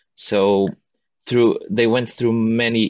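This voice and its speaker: A man speaks with a Portuguese accent. His intonation is fairly even. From northern Portugal. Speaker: architecture student. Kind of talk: casual chat. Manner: halting.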